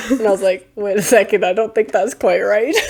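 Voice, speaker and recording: A woman speaks with lively intonation at a fairly high pitch over noticeable background noise. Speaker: podcast co-host. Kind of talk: casual chat.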